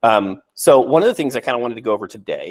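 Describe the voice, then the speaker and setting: The pace is fairly quick as a man speaks. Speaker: real estate agent. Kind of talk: casual chat. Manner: fast; halting.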